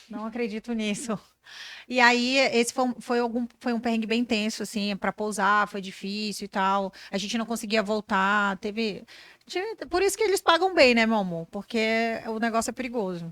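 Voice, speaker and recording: Recorded very cleanly with a silent background and a dry, close sound with no echo, the voice moves at a moderate pace with ordinary pitch variation. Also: woman, fairly high pitch for a woman. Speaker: brand strategist and business mentor. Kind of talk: podcast interview. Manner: animated.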